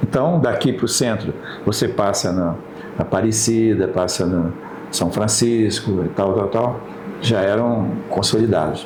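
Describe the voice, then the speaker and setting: A man's fairly low voice with ordinary pitch variation and very even loudness, at a fairly slow pace, amid noticeable background noise and audible room echo. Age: 70s. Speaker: historian and former mayor. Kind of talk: interview.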